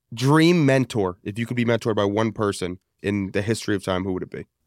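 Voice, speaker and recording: On a very clean recording with a silent background, a man with an ordinary speaking voice talks at medium pitch with ordinary pitch variation. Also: dry, close sound with no echo. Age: 20s. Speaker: podcast co-host, sales director. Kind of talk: casual interview chat.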